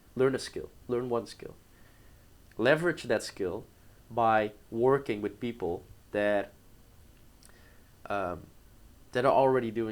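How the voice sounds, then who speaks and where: Speaking at a fairly slow pace with long, frequent pauses, a man with a Dutch accent keeps a medium pitch and ordinary pitch variation. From Netherlands, small town. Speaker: entrepreneur. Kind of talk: interview. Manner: casual, hesitant.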